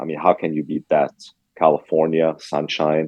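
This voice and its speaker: A man's voice with a Lebanese accent. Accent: Lebanese accent, still noticeable. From Lebanon. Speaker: restaurant owner. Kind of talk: interview. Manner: frequent fillers, hesitant.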